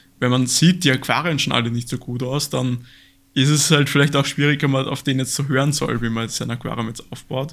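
With a slight Austrian accent, a man talks at a fairly quick pace in a medium pitch and fairly even intonation. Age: 20s. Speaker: aquascaping YouTuber. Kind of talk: casual interview.

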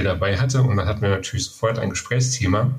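Fairly even intonation from a man, set over noticeable background noise. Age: 40s. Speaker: biochemist and homebrewer, beer judge. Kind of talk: interview.

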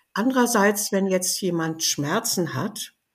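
Lively in intonation and somewhat breathy, a woman talks at a medium pitch and a moderate pace. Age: 80s+. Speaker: biologist and aromatherapy author. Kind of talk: interview conversation.

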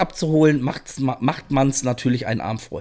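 A man's dark, mellow voice at a fairly high pitch, fairly even in intonation, at a moderate pace. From northern Germany (Rostock), moved west as a child. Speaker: food podcast guest. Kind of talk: casual chat. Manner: loud.

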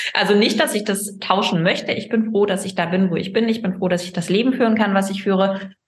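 Monotone, flat intonation with a somewhat breathy quality. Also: woman. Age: 30s. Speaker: gynecologist, fertility doctor. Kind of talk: casual interview.

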